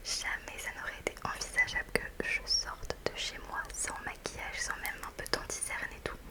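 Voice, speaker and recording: Whispering in a relaxed tone at a moderate pace, the speaker is heard over noticeable background noise. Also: woman. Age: 20s. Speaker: ASMR creator. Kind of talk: casual talk to camera, ASMR review. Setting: studio, close microphone. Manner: soft-spoken, relaxed, chatty.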